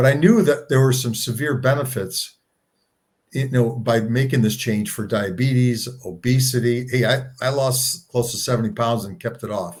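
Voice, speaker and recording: At a moderate pace, a man talks in a medium pitch with ordinary pitch variation. His voice is somewhat breathy. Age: 60s. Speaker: co-founder of a plant-based health organization. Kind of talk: interview conversation. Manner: halting with frequent repetitions.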